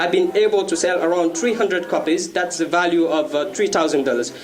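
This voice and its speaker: A man with a French accent talks in a high pitch with ordinary pitch variation. The room echo is audible, and there is noticeable background noise. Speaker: author and youth activist. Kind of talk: contest pitch presentation. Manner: halting, many fillers.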